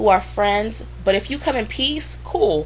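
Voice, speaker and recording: A woman keeps an even, medium speed while clear background noise is heard. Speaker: vlogger. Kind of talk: casual vlog rant. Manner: animated, blunt.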